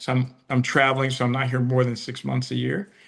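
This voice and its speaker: A man with an American accent speaks at a medium pitch, his intonation monotone and flat. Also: quiet background. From US South. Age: 60s. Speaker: retired executive, interviewee. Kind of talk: interview.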